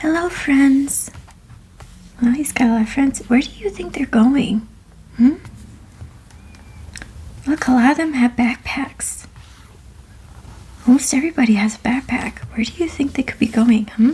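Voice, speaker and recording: Soft-spoken and gentle in tone, a woman with a high voice talks at a moderate pace with ordinary pitch variation and long, frequent pauses over noticeable background noise. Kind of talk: ASMR bedtime story reading. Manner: soft-spoken, gentle.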